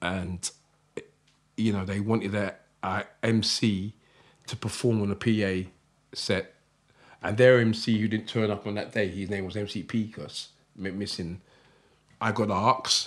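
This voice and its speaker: Monotone, flat delivery at a moderate pace with long, frequent pauses, in a very clean recording with a silent background. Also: man, fairly low pitch for a man. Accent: South London. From South London, Croydon. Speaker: jungle MC and author. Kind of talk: interview.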